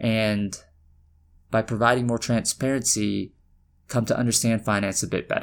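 An American man speaks at a moderate pace in a medium pitch, his intonation flat and monotone, with long, frequent pauses on a very clean recording with a silent background. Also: very even loudness. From US South, Atlanta. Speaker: podcast host, finance professional. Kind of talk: scripted-style solo intro monologue.

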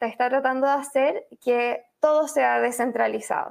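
Against a quiet background, a woman with a Chilean accent and a high voice speaks very slowly. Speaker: journalist and author. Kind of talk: interview. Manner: hesitant, many fillers.

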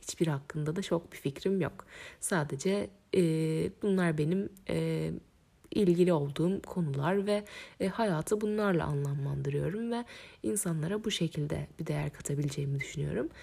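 Very deep and low in pitch, a woman's voice has a dark, mellow tone and lively intonation at a moderate pace. The recording is very clean, with a silent background. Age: 20s. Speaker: podcast host. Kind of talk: solo podcast monologue. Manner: hesitant, with frequent fillers.

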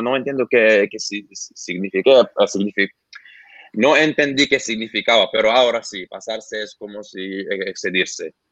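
A man with an Arabic accent at a moderate pace, ordinary pitch variation, in a dry, close sound with no echo. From Lebanon. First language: Arabic (speaking Spanish). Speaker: YouTuber reacting to Latin urban music. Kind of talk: casual interview. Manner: halting.

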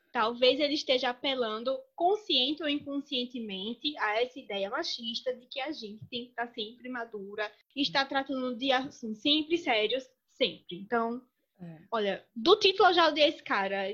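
A woman's high voice in a Pernambuco accent, at a moderate pace, with lively intonation and big swings in loudness. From Brazil, Pernambuco (sertão). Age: 30s. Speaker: lawyer and master's student. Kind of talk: casual chat. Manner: animated.

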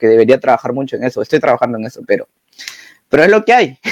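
The sound is dry and close, with no echo. It is a man talking. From Peru. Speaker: podcast host, university student. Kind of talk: casual conversation.

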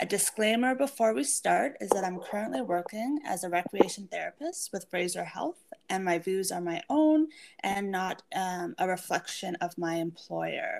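A woman at a medium pitch moves through very wide pitch swings at a moderate pace. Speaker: podcast host, recreation therapist. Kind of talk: podcast introduction.

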